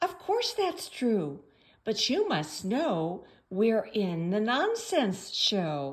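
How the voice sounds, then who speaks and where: A woman's squeaky, put-on character voice, fairly high in pitch, at a very slow pace. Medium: read story.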